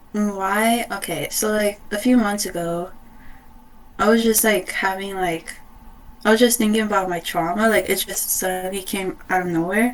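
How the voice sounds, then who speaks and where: Against noticeable background noise, a woman speaks at a medium pitch and moderate pace with fairly even intonation. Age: young. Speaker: interviewee, student. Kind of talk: casual interview. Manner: hesitant, many fillers.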